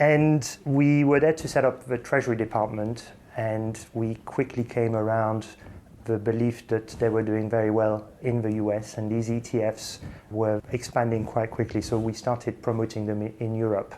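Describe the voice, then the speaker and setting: With a slight French accent, a man talks at a moderate pace in a medium pitch, his dark, mellow tone held in a monotone, flat intonation. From England. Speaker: finance executive. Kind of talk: interview.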